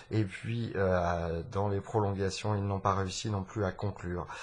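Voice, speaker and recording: Speaking at a fairly slow pace, a man with a fairly low pitch sounds somewhat breathy, his intonation monotone and flat. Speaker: sports podcast host. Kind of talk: live commentary. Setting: at home. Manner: soft-spoken; halting.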